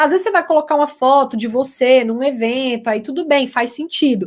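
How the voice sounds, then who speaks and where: A woman with a high pitch and a Minas Gerais accent speaks at a fairly quick pace on a very clean recording with a silent background. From Minas Gerais, Brazil. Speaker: communication consultant and lecturer. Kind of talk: live stream talk for university students.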